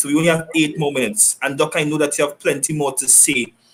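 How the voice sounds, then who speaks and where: This man speaks with a fairly high pitch. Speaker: sports talk show host. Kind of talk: online talk show hosting. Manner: fast.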